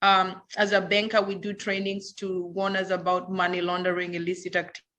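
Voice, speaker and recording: Over music in the background, a woman speaks at a fairly quick pace in a medium pitch. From Kenya. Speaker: banker and crypto advisor. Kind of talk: panel discussion. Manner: halting.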